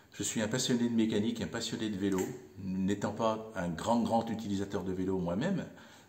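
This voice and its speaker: With ordinary pitch variation, a man speaks at a fairly low pitch over audible room echo. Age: 60s. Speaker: volunteer bike mechanic. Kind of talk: interview monologue. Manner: hesitant, many fillers.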